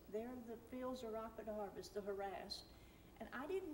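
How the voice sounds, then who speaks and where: Over noticeable background noise and audible room echo, a woman with a fairly high pitch speaks at a moderate pace. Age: 60s. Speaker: class member. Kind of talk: testimony. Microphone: far from the mic.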